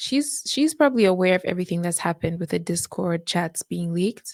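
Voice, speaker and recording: A woman with lively intonation on a very clean recording against a silent background. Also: dry, close sound with no echo. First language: not English. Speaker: reaction youtuber. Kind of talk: casual commentary.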